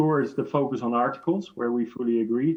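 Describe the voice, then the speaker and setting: The speech comes at a moderate pace in a Dutch accent. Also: man. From Netherlands. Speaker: chemical industry association director. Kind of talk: panel debate interview.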